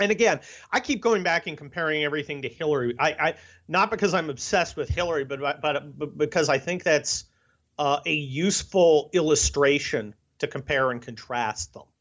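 A man with an American accent and a normal speaking voice talks at a fairly quick pace, his pitch fairly high with ordinary pitch variation. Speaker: conservative columnist, lawyer and retired army officer. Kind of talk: interview, opinionated political commentary.

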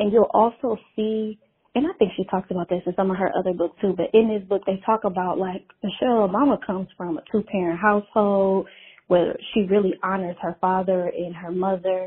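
A woman with a normal speaking voice and a medium pitch talks at a fairly quick pace with fairly even intonation. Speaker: caller. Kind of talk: voicemail message. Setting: phone call.

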